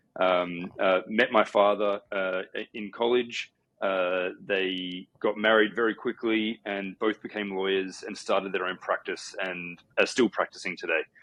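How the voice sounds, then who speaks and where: A man with an Australian accent speaks fairly slowly in a fairly low pitch, his intonation monotone and flat. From Australia, Sydney. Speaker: company co-founder. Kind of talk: podcast interview. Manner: hesitant fillers.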